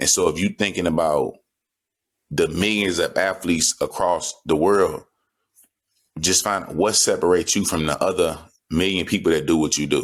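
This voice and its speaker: A man speaks at a moderate pace. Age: 30s. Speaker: football player. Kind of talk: interview.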